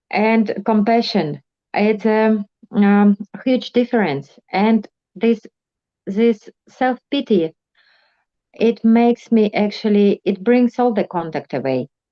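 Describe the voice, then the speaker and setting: With a non-native accent, a woman speaks at a very slow pace and a fairly high pitch, taking long, frequent pauses, her pitch variation ordinary and her loudness very even. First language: not English. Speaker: meeting participant. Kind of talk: sharing in group meeting. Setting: video call. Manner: halting.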